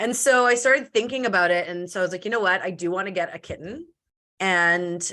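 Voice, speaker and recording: A loud woman's voice, bright and sharp, at medium pitch and a very fast pace, animated in tone with ordinary pitch variation, in a very clean recording with a silent background. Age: 30s. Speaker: entrepreneur and podcast guest. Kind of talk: casual interview chat. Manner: fast, animated.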